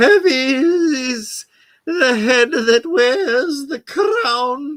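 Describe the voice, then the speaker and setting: In a put-on character voice, someone speaks very slowly at a high pitch. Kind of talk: grand, Shakespearean. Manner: over-exaggerated, theatrical.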